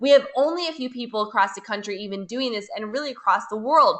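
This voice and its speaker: A normal speaking voice with an American accent carries ordinary pitch variation. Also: woman. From United States. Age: 30s. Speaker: network marketing leader. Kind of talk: webinar sales presentation. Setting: webinar.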